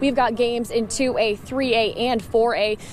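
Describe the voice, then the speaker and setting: A woman speaks in a high voice with ordinary pitch variation. Noticeable background noise runs under her. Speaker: sports broadcaster. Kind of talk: live sports reporting.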